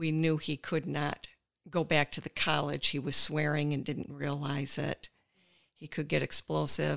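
With vocal fry and a very deep, low pitch, a woman speaks at a fairly slow pace in a flat monotone. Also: very clean recording, silent background. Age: 60s. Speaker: caregiver and former special education teacher. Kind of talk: testimony.

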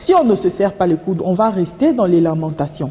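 The intonation is lively. The pace runs fairly quick. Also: woman. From DR Congo. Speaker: political analyst and journalist; political analyst, journalist. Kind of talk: TV interview. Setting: TV studio. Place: studio.

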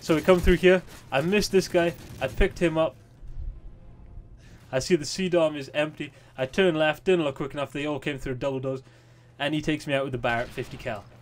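With music in the background, a man with a fairly high pitch talks at a fairly quick pace and ordinary pitch variation. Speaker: gamer. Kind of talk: gameplay commentary. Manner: casual.

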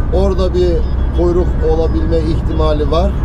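Music plays in the background. A man talks at a very slow pace. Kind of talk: casual vlog chat. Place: car. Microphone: camera far.

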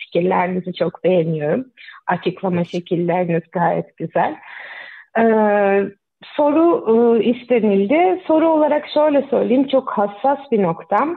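Loudness stays very even while the pitch makes very wide swings. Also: woman, medium pitch for a woman, fairly slow pace. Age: 30s. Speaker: caller, mother. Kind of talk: call-in question. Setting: phone call.

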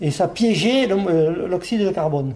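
A man with a high-pitched voice speaks very slowly, his pitch moving up and down in an ordinary way. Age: 60s. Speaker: retired miner. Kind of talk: interview testimony. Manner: halting, with repetitions.

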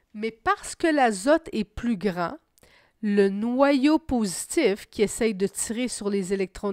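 On a very clean recording with a silent background, a woman speaks very slowly at a fairly high pitch, her intonation lively and the sound dry and close with no echo. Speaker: science teacher. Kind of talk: lecture.

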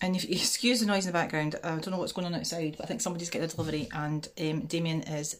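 With ordinary pitch variation, a woman speaks at a fairly low pitch. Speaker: vlogger. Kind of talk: casual vlog chat. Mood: cheerful, chatty, laughing. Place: home room. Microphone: phone near.

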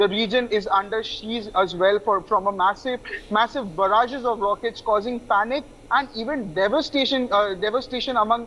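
A man talks at a moderate pace. His pitch is extremely high, with light background noise. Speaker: news correspondent. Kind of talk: news report to camera. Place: open country.

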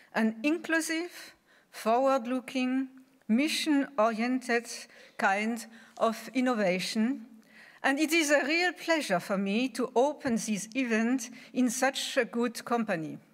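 A woman speaks in a high pitch at a fairly slow pace with ordinary pitch variation. Her loudness stays very even over a quiet background. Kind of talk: formal welcome speech. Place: hall. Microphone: podium.

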